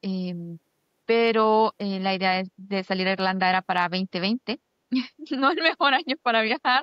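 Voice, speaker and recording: Speaking at a fairly slow pace, a woman has a plain, everyday voice of medium pitch with ordinary pitch variation. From Honduras, San Pedro Sula. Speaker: doctoral student. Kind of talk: interview.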